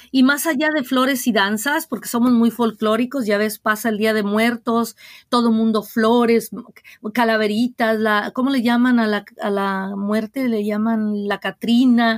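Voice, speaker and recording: In an unremarkable speaking voice, a woman talks fairly slowly at a fairly high pitch with fairly even intonation, the sound dry and close with no echo on a very clean recording with a silent background. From Mexico, Guadalajara, Jalisco. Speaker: diocesan ministry director. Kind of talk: interview.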